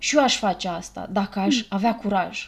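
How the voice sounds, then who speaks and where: In a very clean recording with a silent background, a woman with a medium pitch and ordinary pitch variation speaks somewhat breathily at a fairly slow pace. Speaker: podcast host and therapist. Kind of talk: casual chat.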